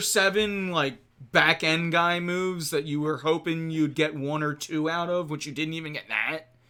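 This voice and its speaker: A man with a Philadelphia accent speaks at a fairly slow pace. His voice is high-pitched with a bright, sharp tone. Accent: Philly. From Philadelphia, US. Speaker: sports podcast host. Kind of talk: casual sports talk livestream. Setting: live stream with chat.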